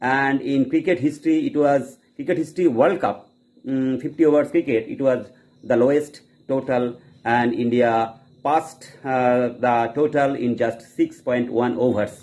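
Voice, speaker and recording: The pace is moderate and the pitch varies in an ordinary way. Long pauses come often. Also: man. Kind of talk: casual commentary. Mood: pleased, enthusiastic. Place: home room. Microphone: phone near.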